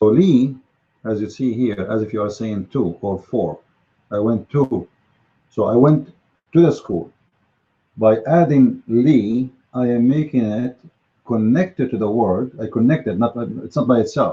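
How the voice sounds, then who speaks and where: A man's somewhat breathy, dark, mellow voice at a medium pitch, fairly slow with long, frequent pauses and ordinary pitch variation. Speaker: Arabic language teacher. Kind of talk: lecture. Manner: halting.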